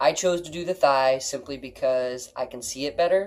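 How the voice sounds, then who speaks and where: This man speaks at a moderate pace with lively intonation. It is an ordinary speaking voice. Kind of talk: casual chat.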